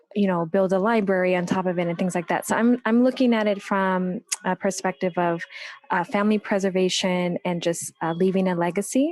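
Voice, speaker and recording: With an unremarkable speaking voice at a medium pitch, a woman talks at a fairly quick pace with fairly even intonation and very even loudness, in a dry, close sound with no echo. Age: 40s. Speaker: audience member asking a question. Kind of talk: audience question.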